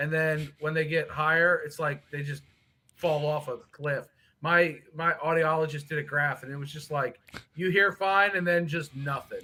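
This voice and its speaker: Loud and bright with a sharp tone, the voice holds a monotone, flat intonation at a moderate pace. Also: man. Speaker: guest on livestream. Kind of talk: casual chat. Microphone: laptop mic, low level.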